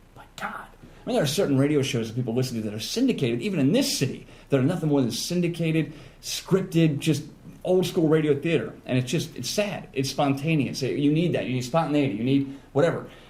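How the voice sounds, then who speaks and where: A somewhat breathy, dark, mellow voice speaks at a very fast pace with audible room echo. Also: man, fairly high pitch for a man, ordinary pitch variation. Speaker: radio personality. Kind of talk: casual chat.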